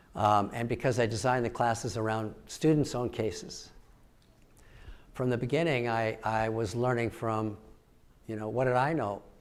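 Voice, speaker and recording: A man speaks at a moderate pace and medium pitch with fairly even intonation, leaving long, frequent pauses. Audible room echo surrounds his voice. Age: 70s. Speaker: professor. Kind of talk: audience Q&A at keynote. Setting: stage with audience. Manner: halting.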